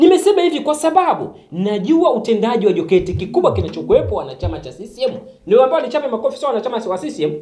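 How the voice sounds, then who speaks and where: A man speaks in an extremely high voice with very wide pitch swings and an animated tone. He talks at a very fast pace with hardly any pauses. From Tanzania. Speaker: political activist commentator. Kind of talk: political monologue to camera. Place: studio.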